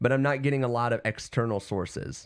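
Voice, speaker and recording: With a normal speaking voice and ordinary pitch variation, a man talks at a moderate pace in a very clean recording with a silent background. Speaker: internet radio and podcast host. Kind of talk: casual livestream chat. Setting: home basement studio. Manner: casual, many fillers and restarts.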